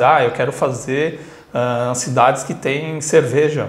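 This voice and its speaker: A man talks with audible room echo surrounding him. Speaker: travel vlogger. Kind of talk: casual vlog chat. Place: home room. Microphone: phone near.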